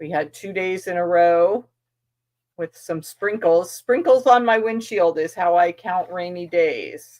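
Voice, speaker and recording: A woman mumbling at a fairly slow pace, medium in pitch with ordinary pitch variation and big swings in loudness. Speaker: quilting channel host. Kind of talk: casual sewing vlog chat. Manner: mumbling while working.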